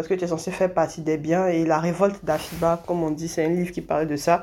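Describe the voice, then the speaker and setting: A woman talks at a fairly quick pace in a flat monotone. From Côte d'Ivoire, Abidjan. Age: 20s. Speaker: feminist activist. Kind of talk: interview testimony.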